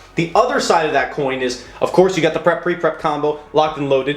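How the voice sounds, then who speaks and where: A man with a fairly high voice talks at a very fast pace in an animated tone. Noticeable background noise sits behind him. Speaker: YouTube card game content creator. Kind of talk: deck profile tutorial. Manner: animated, casual.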